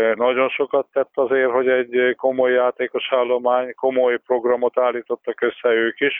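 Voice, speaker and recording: Talking at a fairly slow pace, a man holds a medium pitch. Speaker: basketball expert. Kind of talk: interview. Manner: halting.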